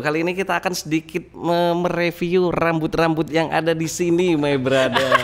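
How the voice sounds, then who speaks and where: A high-pitched man at a moderate pace, with noticeable background noise. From Central Java, Wonosobo. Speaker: car modification YouTuber. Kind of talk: casual podcast chat. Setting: hair studio, podcast with live stream.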